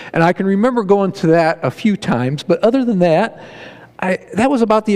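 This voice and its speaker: Here a man speaks with a Midwestern American accent. His pace is fairly quick and his intonation lively. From northeast Ohio, Barberton area. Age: 60s. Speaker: lay preacher. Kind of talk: sermon. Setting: church with congregation. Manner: folksy, conversational.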